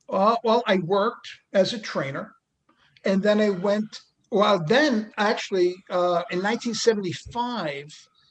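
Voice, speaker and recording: A high-pitched man's voice in a New York accent, fairly slow, with ordinary pitch variation. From New York City, Queens. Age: 60s. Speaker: retired NBA athletic trainer. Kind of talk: casual interview.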